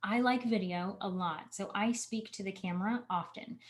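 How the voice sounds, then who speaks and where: A woman speaks at a fairly slow pace, somewhat breathy. Her medium pitch shows ordinary variation. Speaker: marketing coach. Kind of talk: webinar Q&A.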